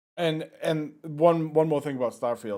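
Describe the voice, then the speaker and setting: A man speaks with a Boston accent. His tone is dark and mellow. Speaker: gaming podcast co-host. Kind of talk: casual chat.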